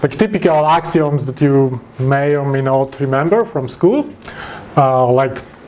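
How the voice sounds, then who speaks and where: Over noticeable background noise, a man with a Polish accent speaks with ordinary pitch variation. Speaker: software developer. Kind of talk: lecture. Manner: halting.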